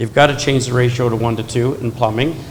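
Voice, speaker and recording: A man at medium pitch and moderate pace, with fairly even intonation and noticeable background noise. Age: 60s. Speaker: plumbing consultant on a panel. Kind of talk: panel discussion.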